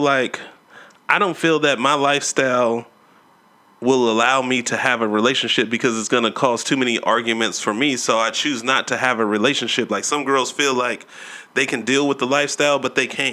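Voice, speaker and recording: This man speaks at a fairly quick pace. His tone is bright and sharp. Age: 30s. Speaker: podcast host and DJ. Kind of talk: casual chat. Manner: animated.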